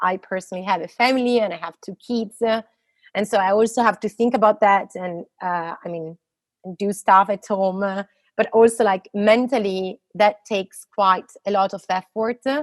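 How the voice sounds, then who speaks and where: Speaking in an Italian accent, a woman keeps a medium pitch and fairly even intonation, recorded with a dry, close sound with no echo. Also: moderate pace. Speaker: physicist. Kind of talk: interview conversation. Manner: halting, many fillers.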